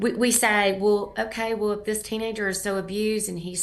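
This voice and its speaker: There's audible room echo as a woman talks at a moderate pace and a medium pitch. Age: 60s. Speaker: nonprofit founder and anti-trafficking advocate. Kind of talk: interview.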